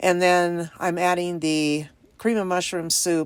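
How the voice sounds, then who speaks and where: A woman speaks in a plain, everyday voice, fairly low in pitch, at a fairly slow pace. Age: 60s. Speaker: lifestyle vlogger. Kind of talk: cooking vlog voiceover. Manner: chatty.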